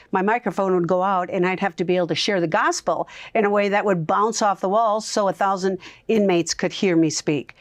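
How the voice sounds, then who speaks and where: Against a quiet background, a woman speaks fairly quickly at a medium pitch, with very even loudness and a dry, close sound with no echo. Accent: American. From US Upper Midwest (Minnesota). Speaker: evangelist and radio host. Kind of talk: interview. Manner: animated.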